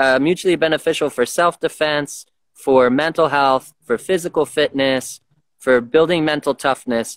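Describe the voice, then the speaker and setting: With an ordinary speaking voice, a man speaks at a fairly high pitch and a moderate pace with ordinary pitch variation. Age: 30s. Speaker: martial arts and boxing coach. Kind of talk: casual interview.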